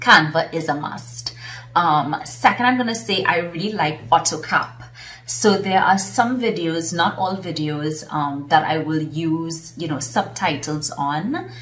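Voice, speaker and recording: A woman with a Trinidadian accent speaks at a fairly low pitch with lively intonation. Audible room echo and noticeable background noise surround her voice. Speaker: business consultant and coach. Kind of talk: casual vlog talk.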